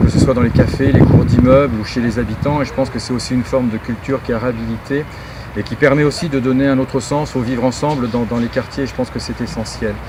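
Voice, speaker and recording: A man rushes along at a very fast pace, his intonation fairly even, with noticeable background noise behind him. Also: medium pitch for a man. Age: 60s. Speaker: parliamentary candidate's running mate. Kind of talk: campaign self-presentation. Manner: halting, many hesitations.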